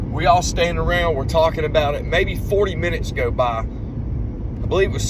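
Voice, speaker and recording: A man speaks fairly slowly amid noticeable background noise and audible room echo. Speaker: bigfoot field researcher. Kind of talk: casual recorded account. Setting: in a car.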